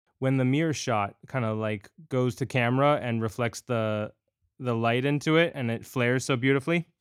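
A man with a plain, everyday voice at medium pitch, talking at a moderate pace with ordinary pitch variation. The recording is very clean, with a silent background. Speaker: podcast host. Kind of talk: interview.

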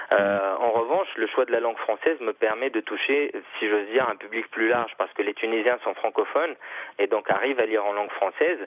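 An unremarkable speaking voice from a man, medium in pitch, at a fairly quick pace. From Tunisia. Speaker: novelist. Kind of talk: interview.

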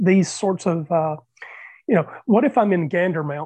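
A high-pitched man with an American accent and lively intonation. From US Southeast. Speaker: panelist. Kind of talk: panel discussion.

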